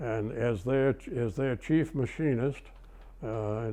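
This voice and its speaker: A man in a Maine accent, fairly slow, medium in pitch with ordinary variation and a dark, mellow tone. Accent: Maine New England. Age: 80s+. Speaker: retired machinist. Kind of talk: oral history interview.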